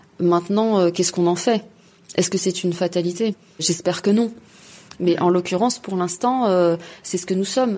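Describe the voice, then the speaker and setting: A woman's medium pitch at a moderate pace, fairly even in intonation, broken by long, frequent pauses. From Paris suburbs, France (Gennevilliers). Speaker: environmental activist, NGO president. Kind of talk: interview. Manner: hesitant with frequent fillers.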